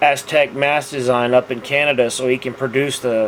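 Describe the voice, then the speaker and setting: Noticeable background noise sits behind a man speaking with a Texas accent. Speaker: scale model builder, video host. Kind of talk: casual tutorial monologue. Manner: halting, many fillers.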